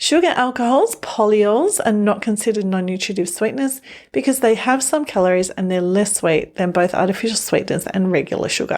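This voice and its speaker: A woman with an Australian accent talks at a fairly quick pace with hardly any pauses, her pitch fairly high. Her intonation is lively and her loudness very even. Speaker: newsletter writer and presenter. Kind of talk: scripted narration.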